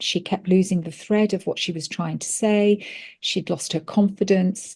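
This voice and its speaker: A woman with a British accent speaks in a dark, mellow tone, somewhat breathy, at medium pitch. Her intonation is monotone and flat, in a very clean recording with a silent background. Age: 60s. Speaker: pharmacist. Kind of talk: interview. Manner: hesitant, many fillers.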